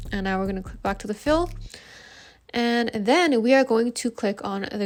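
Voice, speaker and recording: Using a normal speaking voice, a woman speaks at a fairly high pitch, keeping a moderate pace and ordinary pitch variation. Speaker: graphic design tutor. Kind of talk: tutorial.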